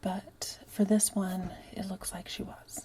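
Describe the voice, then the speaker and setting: This woman is soft-spoken. Her pitch is medium. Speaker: ASMR true crime / unclaimed persons channel host. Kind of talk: soft-spoken ASMR-style true crime narration. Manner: soft-spoken, casual.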